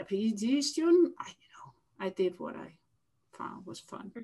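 A somewhat breathy voice is heard. It belongs to a woman. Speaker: lab head and geneticist. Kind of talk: interview. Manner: halting.

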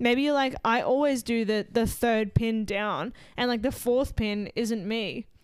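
Her fairly high pitch and fairly even intonation mark an ordinary speaking voice as a woman talks at a fairly slow pace. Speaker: gym coach, podcast host.

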